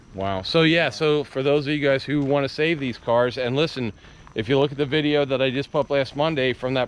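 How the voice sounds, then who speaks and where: With a normal speaking voice, a man talks at a moderate pace and fairly high pitch, keeping his intonation fairly even. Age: 50s. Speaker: car hobby YouTuber. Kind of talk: casual chat on video walkaround.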